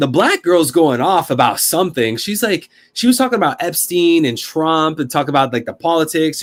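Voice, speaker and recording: A man with an American accent, fairly high-pitched, animated in tone, with lively intonation, a moderate pace and hardly any pauses. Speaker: streamer. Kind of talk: casual storytelling on a live stream. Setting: live stream.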